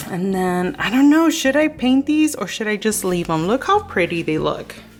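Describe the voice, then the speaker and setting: A woman talks at a moderate pace in a fairly high pitch. Her pitch swings very widely over noticeable background noise. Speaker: lifestyle vlogger. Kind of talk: casual vlog narration. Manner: animated.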